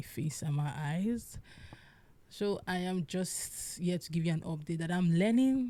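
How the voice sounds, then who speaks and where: This woman's voice is fairly low, with a dark, mellow tone and a somewhat breathy quality. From Nigeria, Igbo. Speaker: podcast host. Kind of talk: solo podcast monologue. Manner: casual, halting.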